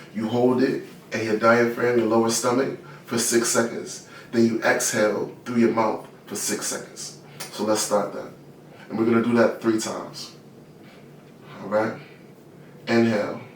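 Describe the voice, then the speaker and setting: A man's calm, monotone delivery with flat intonation, long and frequent pauses, and noticeable background noise. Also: medium pitch for a man, moderate pace. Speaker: guided meditation teacher. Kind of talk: guided meditation; casual talk to camera. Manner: calm, instructional.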